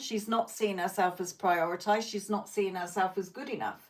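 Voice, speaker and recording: The speaker is a woman. She talks with a British accent. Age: 50s. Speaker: psychic tarot reader. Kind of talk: live stream reading and chat. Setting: live stream.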